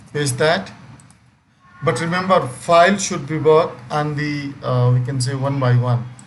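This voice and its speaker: A fairly high-pitched male voice with ordinary pitch variation, audible room echo and noticeable background noise. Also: long, frequent pauses. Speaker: software trainer. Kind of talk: live online training session.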